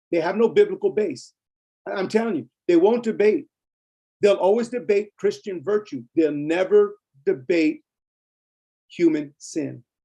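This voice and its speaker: Music plays in the background as a man talks at a moderate pace with long, frequent pauses. His voice is high-pitched and swings very widely in pitch. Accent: American. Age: 60s. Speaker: preacher teaching a ministry class. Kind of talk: lecture; casual chat. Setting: video call. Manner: animated.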